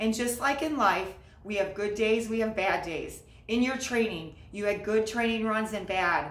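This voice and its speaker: An upbeat tone at a moderate pace, with ordinary pitch variation and noticeable background noise. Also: woman, fairly high pitch for a woman. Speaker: marathon coach. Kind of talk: casual talk to camera.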